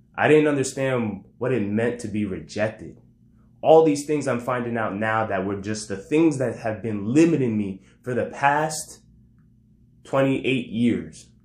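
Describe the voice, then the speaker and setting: A plain, everyday voice, a man at medium pitch talks at a fairly slow pace with ordinary pitch variation. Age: 30s. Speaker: podcaster, entrepreneur and former teacher. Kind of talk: personal monologue.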